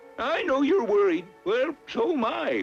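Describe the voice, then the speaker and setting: Over clear music in the background, a man in a cartoonish character voice speaks at a fairly slow pace with an extremely high pitch and very wide pitch swings. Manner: gentle, fatherly.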